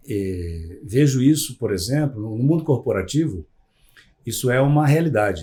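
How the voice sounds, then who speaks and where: A somewhat breathy man at medium pitch and moderate pace, his pitch swinging very widely, on a very clean recording with a silent background. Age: 60s. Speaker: psychologist. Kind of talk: podcast interview. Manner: hesitant, many fillers.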